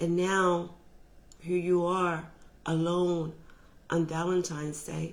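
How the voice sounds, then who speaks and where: A woman speaks very slowly with long, frequent pauses. Her intonation is monotone and flat, and room echo is audible. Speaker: motivational speaker on relationships. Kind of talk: motivational talk. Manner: loud.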